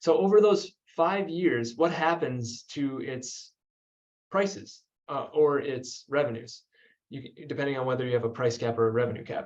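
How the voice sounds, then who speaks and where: With lively intonation and a fairly high pitch, a man speaks in an ordinary speaking voice. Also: moderate pace. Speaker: energy policy researcher. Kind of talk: webinar presentation.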